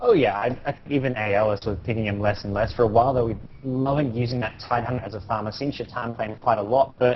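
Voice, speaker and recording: A man talks at a very fast pace with an Australian accent. His voice is somewhat breathy and his intonation fairly even. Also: medium pitch for a man, hardly any pauses. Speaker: pro gamer co-caster. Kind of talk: live commentary. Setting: live stream.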